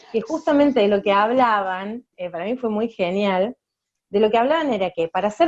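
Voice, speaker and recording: A woman with a strong Córdoba accent, fairly high in pitch, with lively intonation. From Argentina, Córdoba. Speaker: communication rights activist, speaker. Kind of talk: talk to students.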